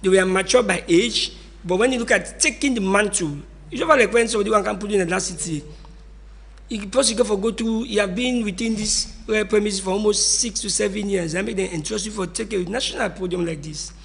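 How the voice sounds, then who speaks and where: A man talks at a very fast pace with a high pitch and ordinary pitch variation. Noticeable background noise sits behind him. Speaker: political commentator. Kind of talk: radio discussion.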